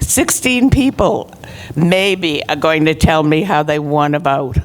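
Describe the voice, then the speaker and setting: Very slowly, a woman speaks with a very deep, low pitch. Her intonation is lively, and noticeable background noise runs underneath. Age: 80s+. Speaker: retirement community resident. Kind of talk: public meeting speech.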